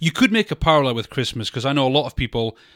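A man with a bright, sharp tone talks at a very fast pace, with a dry, close sound with no echo and a very clean recording with a silent background. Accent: British. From Britain. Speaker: film podcast co-host. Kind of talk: casual chat.

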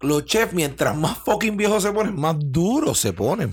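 Speaking at a fairly slow pace, a man talks in a Puerto Rican accent. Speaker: chef and podcast host. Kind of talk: casual chat. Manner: animated.

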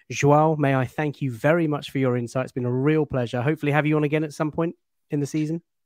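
In a British accent, a man speaks at a very fast pace with a fairly high pitch and monotone, flat intonation. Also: dry, close sound with no echo. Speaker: football podcast host. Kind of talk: casual football analysis chat.

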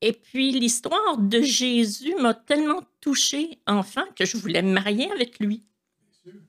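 A woman's high voice in a Quebec accent, at a very slow pace, with very wide pitch swings and big swings in loudness. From Quebec, Montreal. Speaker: churchgoer sharing faith story. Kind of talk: testimony.

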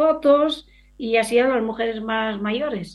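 This woman speaks with ordinary pitch variation. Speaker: rural women's association member. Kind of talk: interview.

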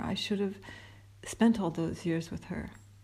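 This woman speaks with a Canadian accent at a medium pitch. Her voice is somewhat breathy. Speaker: storyteller. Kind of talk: personal storytelling monologue. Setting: at an airport.

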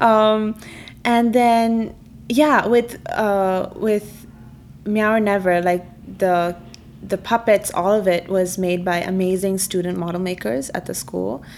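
With a Keralan accent, a woman of medium pitch speaks very slowly with ordinary pitch variation. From Jakarta, Indonesia and Dubai. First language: Malayalam. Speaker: film director. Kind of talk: interview. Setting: studio.

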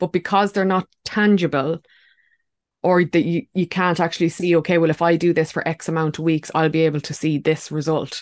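A woman with an Irish accent speaks at a fairly quick pace in a fairly low voice. The sound is dry and close with no echo, over a quiet background. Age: 30s. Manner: animated.

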